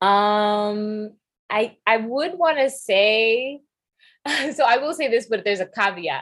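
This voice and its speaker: A woman with a New York accent speaks with lively intonation. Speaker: podcast host and DJ. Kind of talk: casual chat.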